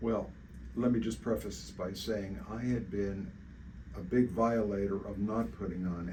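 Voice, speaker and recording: At a moderate pace, a man with a fairly low pitch, a dark, mellow tone and vocal fry speaks with lively intonation. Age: 80s+. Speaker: patient. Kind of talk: interview answer. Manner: hesitant, many fillers.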